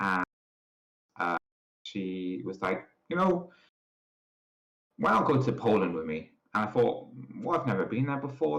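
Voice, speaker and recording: A man with a British accent speaks at a moderate pace. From UK. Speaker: podcast co-host. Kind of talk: casual chat.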